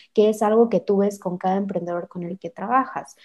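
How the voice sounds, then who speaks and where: A woman with a dark, mellow tone and medium pitch, ordinary pitch variation and a moderate pace, against a quiet background. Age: 30s. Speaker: podcast host. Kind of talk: interview.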